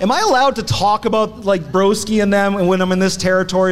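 Very fast speech from a high-pitched man, with music in the background. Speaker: wrestling podcast host. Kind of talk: casual chat, comedic banter. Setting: stage with live audience.

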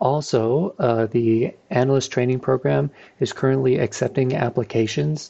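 This man has an ordinary speaking voice, medium in pitch with ordinary pitch variation, at a fairly slow pace. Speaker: institute staff announcer. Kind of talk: announcements and intro.

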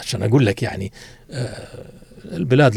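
A man talking at a moderate pace. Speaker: writer and academic. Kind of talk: casual interview. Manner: reflective storytelling.

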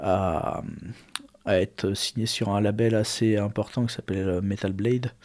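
A man's very slow, monotone delivery with flat intonation. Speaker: metal musician and studio owner. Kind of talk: casual interview. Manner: hesitant.

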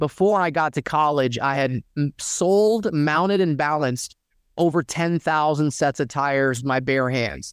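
In a very clean recording with a silent background and a dry, close sound with no echo, a man with an American accent uses a plain, everyday voice at a fairly high pitch, with ordinary pitch variation, very even loudness, and a moderate pace. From US South, Dalton, Georgia. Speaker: personal injury lawyer. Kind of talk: interview.

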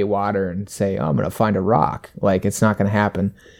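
A man with an American accent and a plain, everyday voice talks at a fairly low pitch with fairly even intonation, on a very clean recording with a silent background. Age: 20s. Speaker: hunter and ice angler. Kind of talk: casual chat.

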